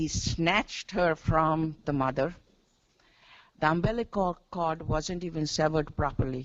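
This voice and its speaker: Ordinary pitch variation at a fairly slow pace. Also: woman. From India, Kolkata. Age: 70s. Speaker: charity founder. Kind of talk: public talk.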